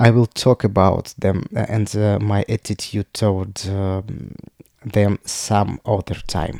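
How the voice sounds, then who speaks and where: Very slowly and with fairly even intonation, a man speaks in a fairly low voice with a dark, mellow tone, recorded very cleanly with a silent background and a dry, close sound with no echo. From Russia. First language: Russian. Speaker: podcaster. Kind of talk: personal monologue. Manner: halting.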